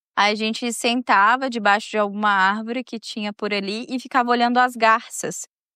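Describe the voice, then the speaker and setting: A woman's bright, sharp voice, fairly high in pitch, at a moderate pace on a very clean recording with a silent background. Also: dry, close sound with no echo. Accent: Minas Gerais. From Minas Gerais, Brazil (São João do Oriente). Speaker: podcast host and storyteller. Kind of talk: casual personal monologue. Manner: chatty, conversational.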